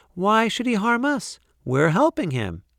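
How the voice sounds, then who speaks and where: A man puts on a character voice with a high pitch and very wide pitch swings. He keeps a moderate pace on a very clean recording with a silent background. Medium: read story.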